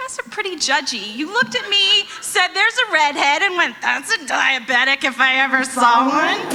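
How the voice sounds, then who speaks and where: A woman projects a raised voice at a high pitch, with very wide pitch swings. She keeps a moderate pace with hardly any pauses over noticeable background noise. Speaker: stand-up comedian. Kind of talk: stand-up. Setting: stage with audience.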